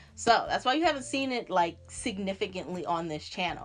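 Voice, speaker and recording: An animated woman's voice at medium pitch, with vocal fry, over a quiet background. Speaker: natural hair vlogger. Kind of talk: casual vlog chat.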